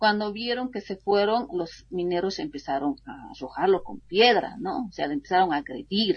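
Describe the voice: A woman speaks at a moderate pace with a fairly low pitch and a slightly husky edge. Her intonation is lively.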